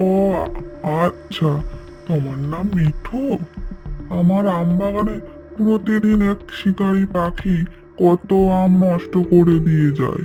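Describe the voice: Over clear background music, a man uses a high, cartoonish character voice. He goes at a fairly slow pace.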